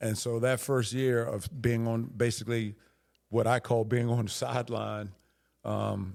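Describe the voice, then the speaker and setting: A man with an American accent talks at a fairly slow pace in a plain, everyday voice, medium in pitch with fairly even intonation. The recording is very clean with a silent background. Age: 60s. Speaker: high school football coach. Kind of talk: casual interview. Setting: coaching clinic.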